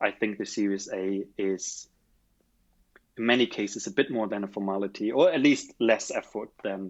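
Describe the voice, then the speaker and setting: Ordinary pitch variation in a man's voice of fairly low pitch. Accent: German. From Germany. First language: German. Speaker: startup founder. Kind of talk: interview.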